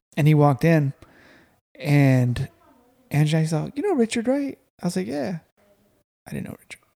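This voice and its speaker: Using a fairly high pitch and a dark, mellow tone, a man talks at a moderate pace with long, frequent pauses and big swings in loudness, the sound dry and close with no echo. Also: lively intonation. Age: 30s. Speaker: podcast host. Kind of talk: casual chat. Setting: guest's home.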